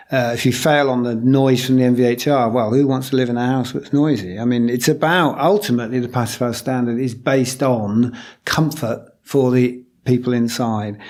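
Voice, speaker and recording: With a British accent, a man speaks at a moderate pace. His pitch is medium and his intonation fairly even. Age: 60s. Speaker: low energy building consultant. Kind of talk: interview. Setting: office.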